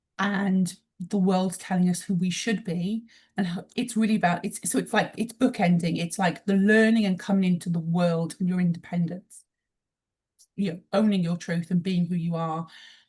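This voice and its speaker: A woman with a British accent speaks at medium pitch with a somewhat breathy voice. She keeps a moderate pace and fairly even intonation. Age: 40s. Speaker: emotional intelligence trainer and mentor. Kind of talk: interview conversation.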